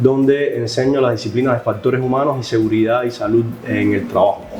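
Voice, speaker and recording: Amid music in the background and audible room echo, a man with a Cuban accent speaks at medium pitch with fairly even intonation. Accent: Cuban Spanish, noticeably non-Colombian. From Cuba, Havana. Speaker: professor, human factors expert. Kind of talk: podcast interview. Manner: hesitant with many fillers.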